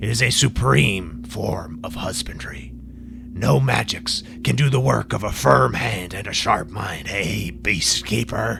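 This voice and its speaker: A man's put-on character voice, very deep and low, over clear background noise. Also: fairly slow pace. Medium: read story. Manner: imperious, commanding.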